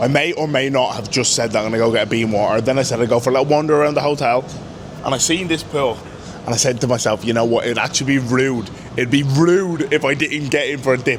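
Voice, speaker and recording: Against noticeable background noise, a man with an Irish accent talks very fast at a medium pitch, his tone animated and his pitch variation ordinary. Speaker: pro rugby player and travel vlogger. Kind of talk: travel vlog. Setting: airport lounge. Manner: casual; quiet, near whisper.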